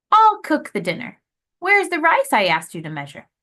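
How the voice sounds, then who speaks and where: A put-on character voice at a fairly quick pace, with big swings in loudness. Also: woman, high pitch for a woman. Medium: read story.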